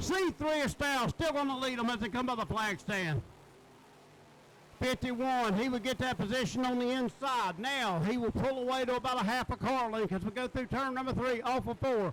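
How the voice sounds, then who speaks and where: A man with an extremely high pitch, at a moderate pace and very even loudness. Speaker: race track announcer. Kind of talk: live commentary.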